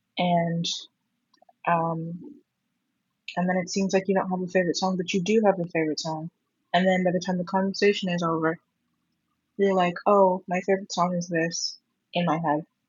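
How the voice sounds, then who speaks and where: The woman's voice is medium in pitch, somewhat breathy and monotone, with flat intonation. She keeps a moderate pace but leaves long, frequent pauses. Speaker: vlogger. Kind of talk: casual monologue. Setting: at home in own room. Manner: halting. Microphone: poor audio quality.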